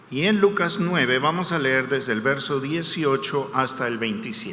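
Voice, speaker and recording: Noticeable background noise and audible room echo surround a man talking at a moderate pace, his fairly high pitch moving in lively intonation. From Peru, Lima. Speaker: guest preacher. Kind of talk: sermon.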